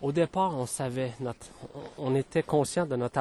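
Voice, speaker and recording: A man at medium pitch speaks at a moderate pace in a dry, close sound with no echo. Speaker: spiritual podcaster. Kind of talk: spiritual monologue. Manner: hesitant, many fillers.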